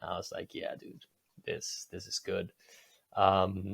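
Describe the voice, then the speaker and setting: A man talks with a Spanish accent. His pace is moderate. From Spain, Catalonia coast north of Barcelona. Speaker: record label owner. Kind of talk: podcast interview. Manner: casual.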